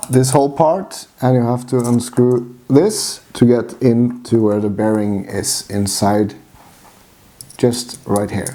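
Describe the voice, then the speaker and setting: A man's dark, mellow voice with a strong Norwegian accent, medium pitch, ordinary pitch variation and a very slow pace. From Norway. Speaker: RC hobbyist. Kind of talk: how-to tutorial talk to camera.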